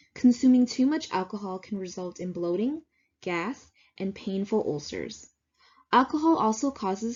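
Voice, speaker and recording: At a moderate pace, a woman speaks in a somewhat breathy voice with a medium pitch and ordinary pitch variation. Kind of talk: slide presentation narration.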